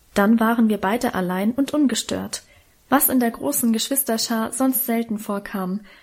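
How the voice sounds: Ordinary pitch variation runs through this voice. It is a natural reading voice.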